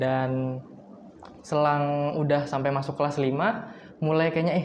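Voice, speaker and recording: Amid audible room echo and noticeable background noise, a man speaks fairly slowly in a fairly high pitch, with ordinary pitch variation and very even loudness. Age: 20s. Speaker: university student and singer. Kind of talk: podcast interview. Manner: casual.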